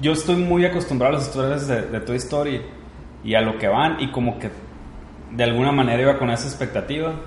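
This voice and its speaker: Over noticeable background noise and audible room echo, a man speaks at a fairly quick pace in a fairly high voice with ordinary pitch variation. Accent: Mexican. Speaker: podcast host. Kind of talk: casual chat.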